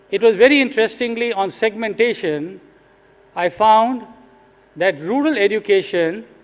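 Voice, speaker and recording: Speaking with an Indian accent, a man uses a high pitch and ordinary pitch variation. He keeps a moderate pace but leaves long, frequent pauses. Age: 70s. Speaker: retired executive turned social sector leader. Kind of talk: conference talk.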